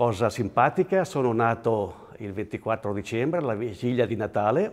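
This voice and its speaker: He talks at a moderate speed. The man's pitch is medium. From Switzerland, Graubünden, Val Poschiavo (Italian-speaking). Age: 60s. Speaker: interviewee in regional portrait. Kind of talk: personal reminiscence interview. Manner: halting, with fillers and repetitions.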